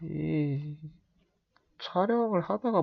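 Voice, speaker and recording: A man's relaxed, somewhat breathy voice over a quiet background. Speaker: amateur football commentary youtuber. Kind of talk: casual monologue. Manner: relaxed, unhurried; hesitant, many fillers.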